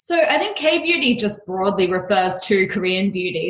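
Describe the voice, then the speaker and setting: With an Australian accent, a woman talks at a medium pitch and a moderate pace. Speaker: beauty company founder. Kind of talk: podcast interview. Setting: remote call.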